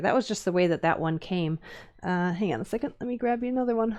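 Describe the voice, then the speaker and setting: Over a quiet background, a woman with a Minnesotan accent speaks at a medium pitch with lively intonation. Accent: Minnesota. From US Upper Midwest (Minnesota, Wisconsin). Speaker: woodcarving teacher. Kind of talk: live-stream tutorial. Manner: casual, many fillers and hesitations.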